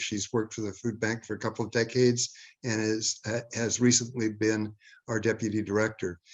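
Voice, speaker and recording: A man at a fairly quick pace, in a monotone, flat intonation. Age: 70s. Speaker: food bank director, award recipient. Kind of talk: award acceptance speech. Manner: halting, many fillers and repetitions.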